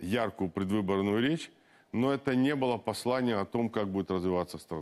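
A man talks at an unhurried, moderate speed, his pitch rising and falling in an ordinary way. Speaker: politician. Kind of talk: studio interview. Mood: critical, firm. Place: studio. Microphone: lapel.

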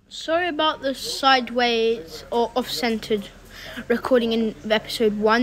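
Against noticeable background noise, a woman with a high voice speaks with ordinary pitch variation. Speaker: gaming YouTuber. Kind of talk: gameplay commentary. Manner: casual, rambling.

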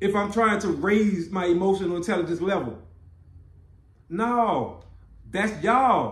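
A man with a high pitch and ordinary pitch variation is heard with audible room echo. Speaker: podcast co-host. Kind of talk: casual podcast discussion. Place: home room.

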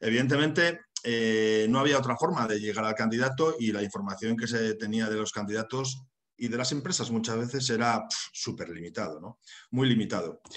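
A man speaks at a moderate pace and medium pitch in a northern Spanish accent. His pitch varies in an ordinary way against a quiet background. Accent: northern Peninsular Spanish. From northern Spain, Santander; Spain. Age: 40s. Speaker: HR consultant and university lecturer; webinar presenter. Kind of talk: webinar lecture. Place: home room. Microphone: webcam.

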